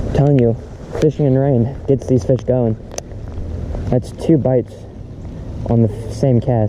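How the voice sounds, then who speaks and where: A medium-pitched man at a fairly slow pace, with long, frequent pauses and fairly even intonation, over noticeable background noise. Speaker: fishing vlogger. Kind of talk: casual vlog commentary. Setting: outdoors fishing in rain.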